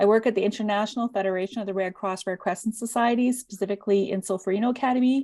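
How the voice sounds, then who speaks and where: A woman speaks very fast with a dark, mellow tone and ordinary pitch variation on a very clean recording with a silent background. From Canada. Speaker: workshop presenter. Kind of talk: workshop presentation. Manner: informal.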